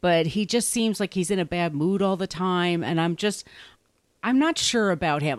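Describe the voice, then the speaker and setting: Speaking at a moderate pace, a woman with a plain, everyday voice, medium pitch and lively intonation sounds dry and close with no echo, on a very clean recording with a silent background. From US Northeast, Long Island, New York. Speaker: author and podcaster. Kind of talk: casual chat.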